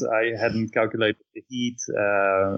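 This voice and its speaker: A man with a Dutch accent, fairly low pitch and monotone, flat intonation. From Netherlands. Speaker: bicycle traveler. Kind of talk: casual interview.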